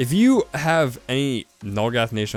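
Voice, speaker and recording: A man speaks with music in the background. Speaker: gaming youtuber. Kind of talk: casual game showcase commentary. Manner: fast; animated.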